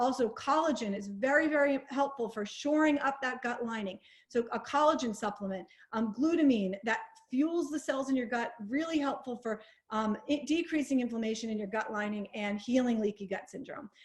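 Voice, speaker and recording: This loud voice has ordinary pitch variation. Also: woman, high pitch for a woman. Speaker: naturopathic doctor. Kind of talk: webinar presentation. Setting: online webinar. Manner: fast.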